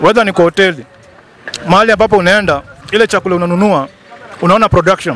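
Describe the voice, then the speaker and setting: Crowd noise sits in the background as a man talks at a very fast pace in a high pitch, with ordinary pitch variation and a dry sound with no echo. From Kenya. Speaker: YouTube vlogger interviewer. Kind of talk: street interview, casual. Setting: outdoor market. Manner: animated. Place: market. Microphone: handheld.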